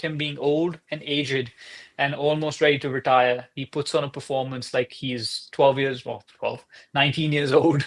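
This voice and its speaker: A man with a non-native accent speaks at a fairly high pitch and moderate pace in a monotone, flat intonation, in a very clean recording with a silent background. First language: not English. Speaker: soccer podcast co-host. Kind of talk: casual chat.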